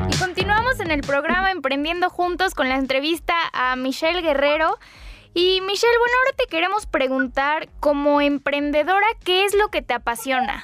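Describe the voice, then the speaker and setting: Over noticeable background noise, a woman with an extremely high pitch speaks with lively intonation and very even loudness. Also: moderate pace. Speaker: radio co-host. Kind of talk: radio hosting and news reading.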